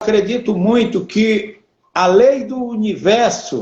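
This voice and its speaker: The voice moves at a very slow pace. Its pitch varies in an ordinary way. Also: man. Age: 60s. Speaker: entrepreneur. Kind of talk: interview.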